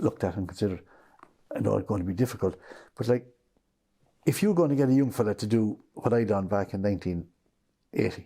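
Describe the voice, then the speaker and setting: A man with a West Cork accent, fairly low in pitch with a dark, mellow tone, fairly quick pace and ordinary pitch variation, on a very clean recording with a silent background. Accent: West Cork Irish. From Ireland, West Cork. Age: 60s. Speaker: business owner. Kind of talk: interview.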